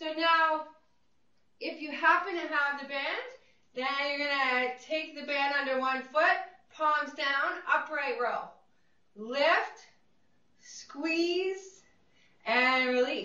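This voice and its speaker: With audible room echo, a woman with a high pitch and a bright, sharp, upbeat tone speaks in a raised, projected voice at a very slow pace, with ordinary pitch variation and long, frequent pauses. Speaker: fitness instructor. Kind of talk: guided group exercise class. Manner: encouraging, upbeat; brisk rhythmic cueing. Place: studio.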